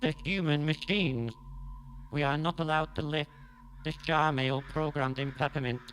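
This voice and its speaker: Over clear background noise, a man uses a put-on character voice with a fairly high pitch, going at a moderate pace with long, frequent pauses. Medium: stage play. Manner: flat, mechanical, formal.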